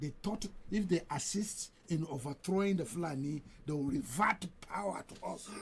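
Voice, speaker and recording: A man talks with lively intonation. His pitch is high. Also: moderate pace. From Nigeria, Niger State (Badeggi, Nupe area). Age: 70s. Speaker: radio station chief executive. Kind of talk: radio interview. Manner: halting, repeats words.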